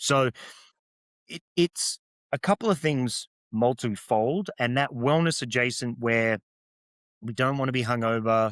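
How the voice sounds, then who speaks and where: Someone with an Australian accent speaks with ordinary pitch variation and long, frequent pauses, in a very clean recording with a silent background and a dry, close sound with no echo. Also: man. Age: 40s. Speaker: beverage entrepreneur. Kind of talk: interview conversation.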